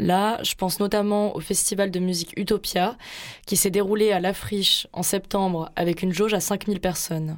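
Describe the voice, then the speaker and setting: A woman's medium-pitched, monotone, flat delivery at a moderate pace, on a very clean recording with a silent background. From Marseille, southern France. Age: 20s. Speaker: radio host. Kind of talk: scripted narration.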